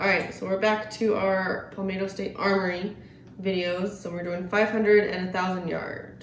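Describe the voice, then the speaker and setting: Over noticeable background noise, a woman speaks at a fairly slow pace. Her medium pitch has monotone, flat intonation. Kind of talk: casual chat.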